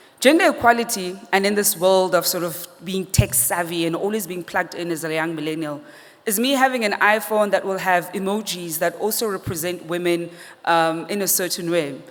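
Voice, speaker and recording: A woman speaks at a medium pitch and a fairly quick pace, with ordinary pitch variation. Noticeable background noise runs behind her. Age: 20s. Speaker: radio producer and conference speaker. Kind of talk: conference talk. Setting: stage with audience.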